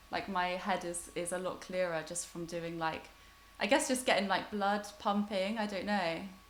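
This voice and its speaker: A woman talks at a moderate pace with medium pitch and ordinary pitch variation, with audible room echo in the recording. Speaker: online festival host. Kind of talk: casual chat.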